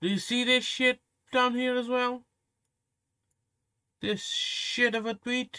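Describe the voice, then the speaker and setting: Projected and raised, a man's extremely high voice has a bright, sharp tone, moving at a very slow pace with long, frequent pauses in a dry, close sound with no echo. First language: Portuguese. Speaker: commentary youtuber. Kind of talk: reaction commentary rant. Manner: animated.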